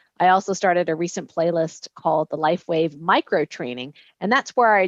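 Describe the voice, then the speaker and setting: Against a quiet background, a woman with a fairly low pitch is heard in a dry, close sound with no echo. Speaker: retired medical doctor and product distributor trainer. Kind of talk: online training presentation. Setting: video call. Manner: fast.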